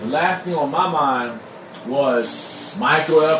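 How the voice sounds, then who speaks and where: Over noticeable background noise and audible room echo, a man speaks with lively intonation in a fairly high pitch. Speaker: pastor. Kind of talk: live stream monologue. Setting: live stream.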